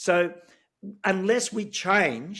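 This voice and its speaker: A man speaks with an Australian accent. His pitch is high. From Australia (Sydney). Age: 60s. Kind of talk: interview. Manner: animated, many filler words.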